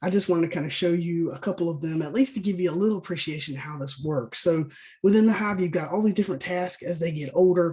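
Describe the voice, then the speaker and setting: With a Southern US accent, the speaker talks at a very fast pace in a dark, mellow tone with ordinary pitch variation. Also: man, high pitch for a man. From US South. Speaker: bee scientist and state apiary inspector. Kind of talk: webinar lecture. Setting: online webinar. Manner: casual, conversational with fillers.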